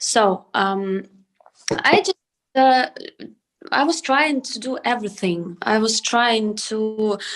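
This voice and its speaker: With a Ukrainian accent, a woman speaks at a very slow pace and fairly high pitch, leaving long, frequent pauses. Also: lively intonation. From Ukraine. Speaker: singer-songwriter and producer. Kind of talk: panel discussion. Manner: halting.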